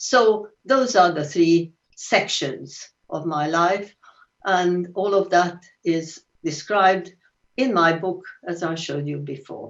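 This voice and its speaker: A woman with a Hungarian accent speaks very slowly at a fairly low pitch, with ordinary pitch variation and long, frequent pauses. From Hungary. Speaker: Holocaust survivor. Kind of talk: testimony. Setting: video call.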